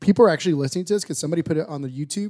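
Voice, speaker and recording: A man speaks with an American accent. His tone is dark and mellow, and his intonation is lively. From Texas. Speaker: podcast co-host, barbecue business owner. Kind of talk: casual chat.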